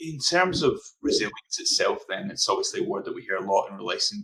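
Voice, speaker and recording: Talking at a fairly quick pace, a man speaks in a Scottish accent. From Scotland, Glasgow. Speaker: interviewer. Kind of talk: panel discussion.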